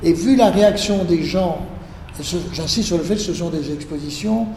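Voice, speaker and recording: Amid noticeable background noise and audible room echo, a man speaks fairly slowly in a high pitch. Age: 60s. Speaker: art collector. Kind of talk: interview. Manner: halting.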